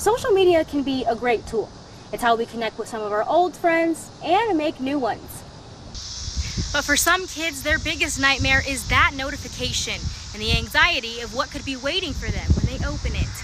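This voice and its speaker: A woman talks at a moderate pace in a high voice with lively intonation. There is noticeable background noise. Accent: American. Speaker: multimedia journalist, weekend evening news anchor and reporter. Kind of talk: pre-recorded reporter package narration.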